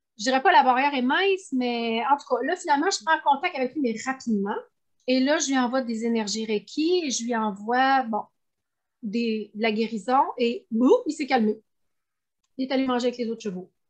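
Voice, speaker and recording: A woman with a high voice talks at an even, moderate speed, her pitch rising and falling in a typical way. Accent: Quebec. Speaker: animal communicator. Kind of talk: interview.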